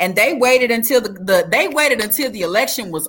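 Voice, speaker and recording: A woman's bright, sharp tone with vocal fry and very wide pitch swings. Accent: American. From Texas (Dallas), parents from Alabama and Louisiana. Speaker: mayoral candidate and former prisoner, speaker. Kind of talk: interview, telling life story. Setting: online live stream interview.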